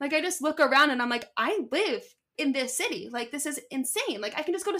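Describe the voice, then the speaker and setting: A woman with an American accent speaks in a raised, projected voice, her tone bright and sharp, her pace fairly quick and her intonation lively. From Philadelphia. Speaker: digital video producer. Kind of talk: casual interview.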